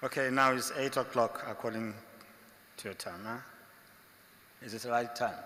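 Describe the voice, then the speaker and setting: Loudness swings widely while the intonation stays fairly even, at a moderate pace broken by long, frequent pauses. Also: man, medium pitch for a man. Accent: African. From Africa. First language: African language. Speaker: monk lecturer. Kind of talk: religious lecture.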